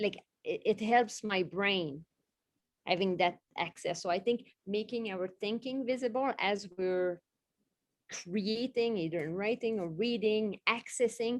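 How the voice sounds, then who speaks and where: A woman's fairly high voice with a non-native accent and ordinary pitch variation, at a fairly slow pace. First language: not English. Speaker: literacy specialist, former teacher. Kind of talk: panel discussion.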